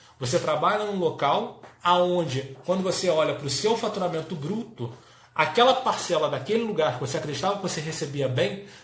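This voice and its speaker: High male voice with lively intonation, plus noticeable background noise and audible room echo. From Brazil, Rio de Janeiro. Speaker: business coach for health professionals. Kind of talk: live-stream talk.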